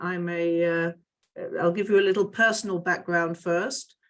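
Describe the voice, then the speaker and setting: Her pitch fairly low, a woman talks with fairly even intonation. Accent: slight British. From United Kingdom. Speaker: interreligious dialogue educator. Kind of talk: panel self-introduction. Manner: halting, many fillers.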